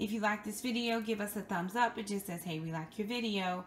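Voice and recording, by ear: A woman speaks in a fairly bright tone over faint background noise.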